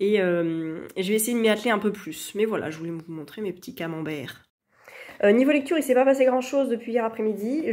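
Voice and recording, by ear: Her tone dark and mellow, a woman speaks at a fairly quick pace and medium pitch with ordinary pitch variation.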